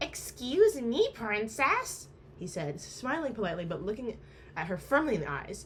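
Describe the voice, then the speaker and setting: Amid noticeable background noise, a woman with a fairly high voice speaks at a moderate pace, making very wide pitch swings and big swings in loudness. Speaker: amateur book reader. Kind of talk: novel reading aloud.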